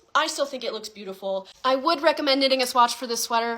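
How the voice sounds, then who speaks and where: The woman's voice is high in pitch, with lively intonation. Noticeable background noise can be heard. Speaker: knitting content creator. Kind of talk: casual tutorial. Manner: animated.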